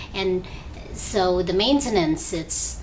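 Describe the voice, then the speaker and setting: A woman speaks in an Indonesian accent. Room echo is audible, and background noise is noticeable. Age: young. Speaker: esthetician. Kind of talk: interview.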